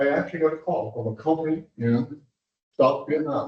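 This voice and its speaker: A man's somewhat breathy voice at a moderate pace. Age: 80s+. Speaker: industrial developer speaking at public meeting. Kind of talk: public comment at municipal meeting. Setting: commission meeting room. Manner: halting.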